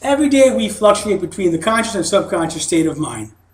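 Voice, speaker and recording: A man speaks in a high voice. Noticeable background noise and audible room echo are present. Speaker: hypnosis seminar presenter. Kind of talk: seminar lecture. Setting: studio.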